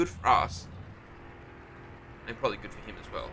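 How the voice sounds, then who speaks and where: In an Australian accent, a man is speaking. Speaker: gaming YouTuber. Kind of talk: gameplay commentary. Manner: casual, hesitant with many ums; loud.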